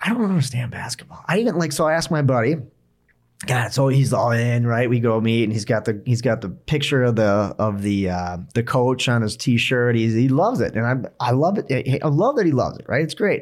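This speaker talks at a fairly quick pace in a Minnesotan accent. The pitch varies in an ordinary way. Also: man, medium pitch for a man. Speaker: podcast co-host. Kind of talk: casual chat.

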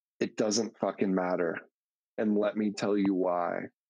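A man's fairly low-pitched, plain, everyday voice, at a moderate pace with fairly even intonation. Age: 30s. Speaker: subscription box entrepreneur. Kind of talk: casual interview.

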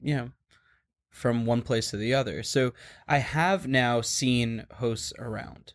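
A man with an American accent and a normal speaking voice, medium in pitch with ordinary pitch variation, on a very clean recording with a silent background. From New York. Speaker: podcast host. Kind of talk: podcast interview.

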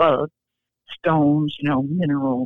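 A woman's very deep, low voice with a US Midwestern accent at a moderate pace. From Iowa. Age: 70s. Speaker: fiction writer. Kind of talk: interview.

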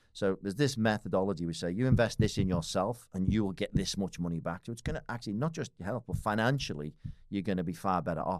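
Lively intonation and a very fast pace from a man with fairly low pitch, in a very clean recording with a silent background. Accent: Liverpool. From Liverpool, northern England. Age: 40s. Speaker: business owner and fitness enthusiast. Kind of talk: casual chat. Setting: studio.

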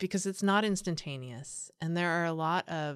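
A woman speaks with a Californian accent in a fairly low pitch. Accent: Californian American. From San Diego, California. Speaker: nonprofit association CEO. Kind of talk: interview conversation. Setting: studio.

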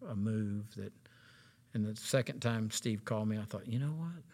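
A man with a normal speaking voice talks at a moderate pace in a medium pitch with ordinary pitch variation, on a very clean recording with a silent background. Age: 60s. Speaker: associate pastor. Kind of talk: interview conversation.

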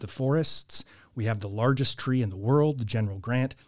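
On a very clean recording with a silent background, a man with a Californian accent talks at a fairly quick pace and medium pitch, somewhat breathy, with ordinary pitch variation. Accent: Californian American English. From Southern California, Orange County. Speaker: church historian and podcaster. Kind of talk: casual interview conversation. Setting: studio.

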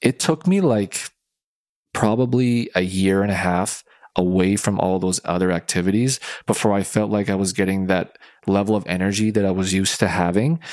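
A man with an unremarkable speaking voice talks at a moderate pace in a fairly low pitch, with ordinary pitch variation and very even loudness. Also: very clean recording, silent background. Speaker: podcast host, sport and workplace psychology consultant. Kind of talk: casual chat.

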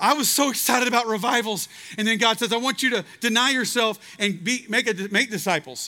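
Projecting a raised voice with a Texan accent, a man talks at a fairly quick pace in a high pitch, his tone bright and sharp, with ordinary pitch variation. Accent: Texan American English. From Texas, Waco. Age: 40s. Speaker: preacher. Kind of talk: revival sermon to a large outdoor student crowd, urgent personal appeal. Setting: outdoor stage with large audience. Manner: impassioned, rising, exhorting preacher cadence; earnest, confessional storytelling.

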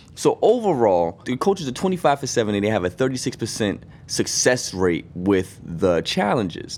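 A man with an American accent speaks with very wide pitch swings and hardly any pauses. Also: medium pitch for a man, moderate pace. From Boston. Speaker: sports podcast co-host. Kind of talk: casual chat.

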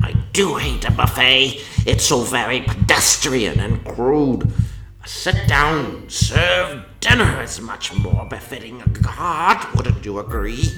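Booming yet breathy, a put-on character voice moves at a fairly slow pace with hardly any pauses over clear background noise. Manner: drawling, sensuous, decadent.

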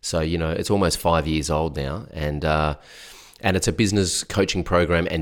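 Speaking at a fairly quick pace with an Australian accent, a man with a very deep, low pitch comes through on a very clean recording with a silent background. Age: 40s. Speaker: business coach. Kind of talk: interview. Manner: casual.

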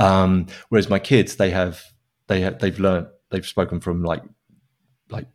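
A British-accented man with a very deep, low pitch at a fairly quick pace. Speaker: software developer and open source maintainer. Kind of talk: casual interview. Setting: living in Spain.

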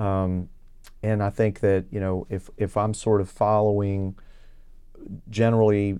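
This man has a Texan accent and a dark, mellow tone at a fairly low pitch. He speaks at a fairly slow pace with monotone, flat intonation against a quiet background. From Texas, Houston area (Kingwood). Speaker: state legislator and physician. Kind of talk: interview.

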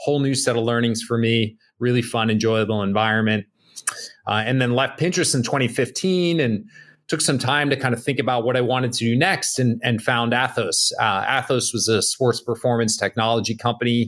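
Speaking with an American accent, a man keeps a fairly quick pace. His medium pitch shows ordinary variation. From New Jersey, Bergen County. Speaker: tech startup CEO and Marine veteran. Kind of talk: podcast interview. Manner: hesitant, many fillers.

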